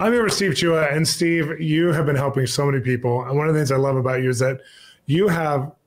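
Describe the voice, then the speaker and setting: The man's voice is somewhat breathy. He talks at a moderate pace. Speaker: interview host. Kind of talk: interview question. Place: home room.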